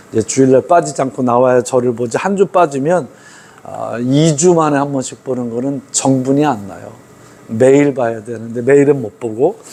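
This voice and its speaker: Noticeable background noise runs under speech at a moderate pace with ordinary pitch variation. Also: man, medium pitch for a man. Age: 60s. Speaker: pastor. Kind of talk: sermon. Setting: church. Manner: conversational, informal asides to congregation.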